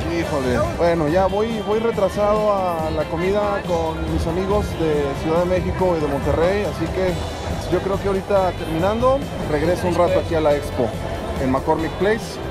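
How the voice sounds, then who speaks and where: Clear music plays in the background. A man speaks over it at a moderate pace. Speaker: runner vlogger. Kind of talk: casual vlog chat. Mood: excited, impressed. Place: hall. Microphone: phone near.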